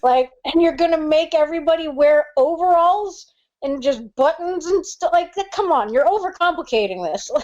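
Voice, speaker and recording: A woman talks at a moderate pace with lively intonation. Her pitch is extremely high. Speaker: ring announcer and commentator. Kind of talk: casual podcast conversation. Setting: phone line.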